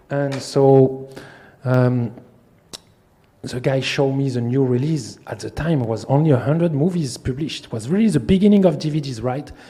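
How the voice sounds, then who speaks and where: A man speaks at medium pitch in a French accent, at a moderate pace. His pitch varies in an ordinary way, over noticeable background noise. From France. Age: 40s. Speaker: film distributor. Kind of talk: masterclass talk. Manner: animated.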